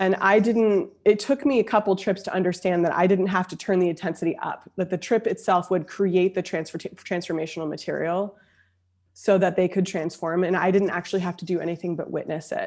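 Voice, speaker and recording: A woman's unremarkable speaking voice, medium in pitch, fairly quick and fairly even in intonation, on a very clean recording with a silent background. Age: 30s. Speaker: emotional intelligence coach and speaker. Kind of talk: casual interview conversation.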